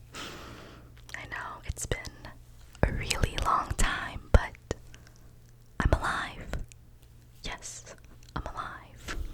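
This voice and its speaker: A woman whispers at a very slow pace, with long, frequent pauses and noticeable background noise. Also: big swings in loudness. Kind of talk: ASMR whisper ramble update; casual talk to camera. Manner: whispered, soft-spoken.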